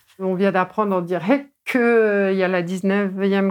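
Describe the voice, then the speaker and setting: The recording is very clean, and the background is silent. A woman's intonation stays monotone and flat throughout. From northern Meurthe-et-Moselle, Lorraine. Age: 40s. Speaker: yellow vest activist, healer. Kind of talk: casual interview.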